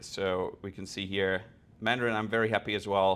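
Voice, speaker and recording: Fairly quick delivery pairs with a monotone, flat intonation. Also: man. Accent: German. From Germany. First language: German. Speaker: developer experience engineer. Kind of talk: conference talk with live demo.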